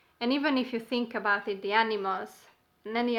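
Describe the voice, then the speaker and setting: At a moderate pace, a woman with a non-native accent talks in a fairly high pitch and a bright, sharp tone. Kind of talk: casual talk to camera.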